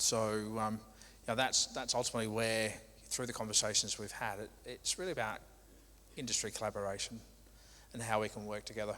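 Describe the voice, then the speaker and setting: On a very clean recording with a silent background, a man with medium pitch and a bright, sharp tone talks at a fairly quick pace, with fairly even intonation and long, frequent pauses. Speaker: logistics company manager, presenter. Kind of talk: conference presentation.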